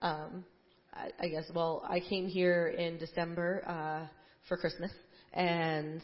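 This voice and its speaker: A woman with an American accent speaks at a very slow pace. Her pitch is fairly low and her intonation is monotone and flat. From New Jersey, US. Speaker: church member. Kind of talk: testimony. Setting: church stage.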